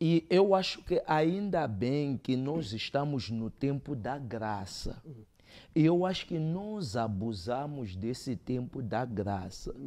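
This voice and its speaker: Using very wide pitch swings, a man speaks at a very slow pace in a dark, mellow tone. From Mozambique. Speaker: theologian; guest. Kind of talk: debate. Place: studio. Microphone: lapel.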